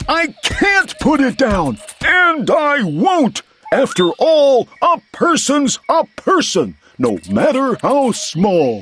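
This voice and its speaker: The voice is a put-on character. Its pace is very slow. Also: man, extremely high pitch for a man. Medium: read story.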